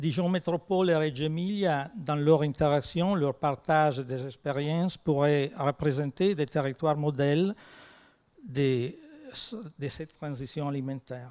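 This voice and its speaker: Speaking at a fairly slow pace, a man with an Italian accent has a fairly high pitch. His tone is dark and mellow, with ordinary pitch variation. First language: Italian (speaking French). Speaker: research organisation president. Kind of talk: conference talk. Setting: conference with audience.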